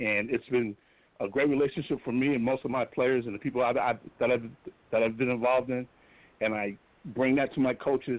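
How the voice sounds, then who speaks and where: A man at a medium pitch speaks fairly quickly but with long, frequent pauses. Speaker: football coach. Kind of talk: interview. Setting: phone call.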